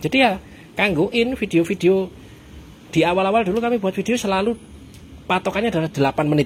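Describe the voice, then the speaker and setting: The speech runs at a very fast pace with ordinary pitch variation, broken by long, frequent pauses. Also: man, high pitch for a man. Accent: strong Javanese. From East Java (Surabaya). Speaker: food vlogger. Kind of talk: casual chat.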